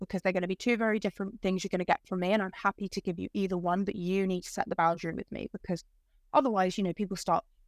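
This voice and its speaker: The speech is very fast, in an English accent. The sound is dry and close, with no echo. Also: woman. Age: 20s. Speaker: podcast guest, bereaved young adult. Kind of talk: casual chat. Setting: video call.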